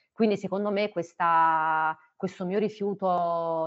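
Fairly even intonation from a woman with a fairly low-pitched voice. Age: 30s. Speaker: biomedical researcher. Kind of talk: personal testimony. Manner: halting, with fillers.

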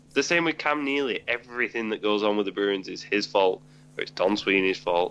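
Lively intonation marks this man's normal speaking voice. He speaks at a moderate pace and a fairly low pitch. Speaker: hockey podcast co-host. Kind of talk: casual chat. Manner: joking.

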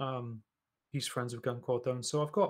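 A man with an East Midlands accent speaks with fairly even intonation. The recording is very clean, with a silent background. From England, East Midlands (Nottingham). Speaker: podcast host. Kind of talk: casual interview. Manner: hesitant, many fillers.

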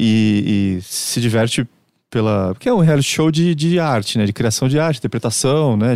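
On a very clean recording with a silent background, a man of medium pitch with a plain, everyday voice speaks at a fairly slow pace with lively intonation. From Brazil, Santos (São Paulo state). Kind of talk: casual chat.

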